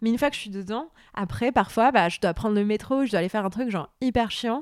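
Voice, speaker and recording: A woman with an unremarkable speaking voice talks at a fairly high pitch with ordinary pitch variation on a very clean recording with a silent background. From Lebanon, Beirut. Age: 30s. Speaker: novelist. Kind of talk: interview. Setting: at home.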